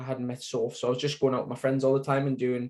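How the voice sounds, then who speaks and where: This is a man speaking with a Sunderland accent. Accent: Sunderland (Mackem) northeast English. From northeast England, Sunderland. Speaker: cancer survivor, support group founder. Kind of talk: interview testimony. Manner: hesitant, many fillers.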